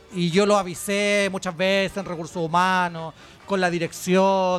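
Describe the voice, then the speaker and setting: Speaking at a moderate pace, a man with a high pitch uses an animated tone. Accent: Chilean. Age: 40s. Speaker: podcast host. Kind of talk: casual chat. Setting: live show in a bar with audience.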